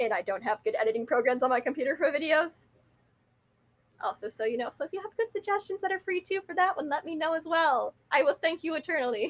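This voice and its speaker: A woman mumbles at a very fast pace with very wide pitch swings, in a dry, close sound with no echo. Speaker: vlogger. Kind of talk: casual monologue. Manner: mumbling.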